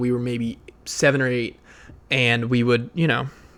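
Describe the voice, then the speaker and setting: A man speaks in an animated tone. His pace is fairly quick. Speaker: podcast host. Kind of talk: personal monologue. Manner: loud.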